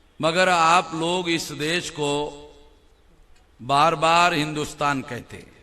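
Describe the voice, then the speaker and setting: A bright, sharp tone with monotone, flat intonation. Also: man. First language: Marathi (speaking Hindi). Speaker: political speaker. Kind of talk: public speech.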